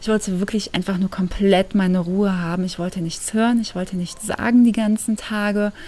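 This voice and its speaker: A woman's medium-pitched, monotone, flat voice at a moderate pace, with noticeable background noise. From Germany. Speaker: podcast host. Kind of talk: casual monologue. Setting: at home.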